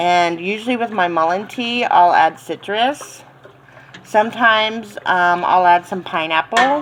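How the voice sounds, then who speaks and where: A woman with an American accent speaks in a relaxed tone at a fairly slow pace. Her pitch variation is ordinary, and there is noticeable background noise. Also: medium pitch for a woman. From Florida, central (US South). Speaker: cooking and herbal tea vlogger. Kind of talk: casual tutorial. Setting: home kitchen. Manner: relaxed, many filler ums.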